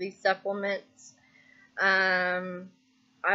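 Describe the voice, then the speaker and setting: Very slowly, a woman speaks at a medium pitch in a bright, sharp tone. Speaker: vlogger. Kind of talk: casual personal vlog. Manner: hesitant, many ums. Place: home room. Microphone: webcam.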